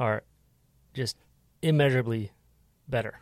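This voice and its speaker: A man's medium-pitched voice with fairly even intonation and a dry, close sound with no echo. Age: 30s. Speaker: podcast producer and host. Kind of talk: casual chat.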